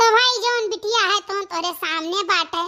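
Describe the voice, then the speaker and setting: A woman does a cartoonish character voice at a moderate pace. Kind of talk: rustic comedy cartoon dialogue. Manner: rambling, boastful.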